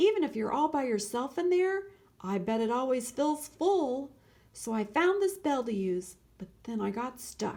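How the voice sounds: A woman's put-on character voice, high-pitched and slightly mellow in tone, with big pitch swings at a fairly slow pace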